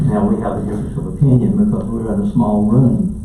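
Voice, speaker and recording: The speaker has a Southern US accent and talks at a moderate pace. Noticeable background noise and audible room echo fill the recording. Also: man. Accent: Southern US (Georgia). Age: 70s. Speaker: county commission chairman. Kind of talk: public meeting chairing. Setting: meeting room.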